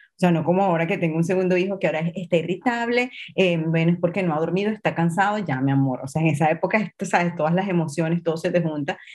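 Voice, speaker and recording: A woman talks at a very fast pace with hardly any pauses, very even loudness, a fairly low pitch and ordinary pitch variation. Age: 40s. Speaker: image coach. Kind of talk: interview.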